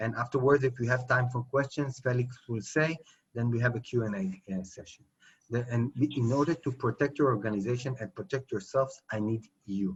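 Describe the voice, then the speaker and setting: At a fairly quick pace, a man sounds somewhat breathy, with ordinary pitch variation. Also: medium pitch for a man. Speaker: cyber security lecturer. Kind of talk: lecture. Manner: fast.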